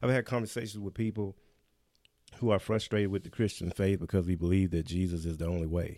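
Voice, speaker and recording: Speaking at a very fast pace, a man with a very deep, low pitch and a dark, mellow tone keeps a fairly even intonation. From US South, Memphis, Tennessee. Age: 40s. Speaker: pastor. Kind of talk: podcast Bible discussion.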